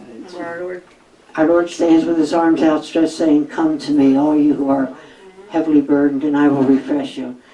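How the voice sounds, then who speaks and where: A woman speaks at a moderate pace with a very deep, low pitch. Her delivery is monotone and flat over noticeable background noise. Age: 80s+. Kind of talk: public talk with audience Q&A.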